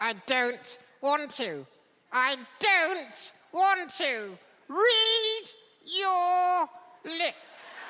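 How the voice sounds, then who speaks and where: In a put-on character voice pitched extremely high, a man speaks at a very slow pace with long, frequent pauses. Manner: sassy, cheeky.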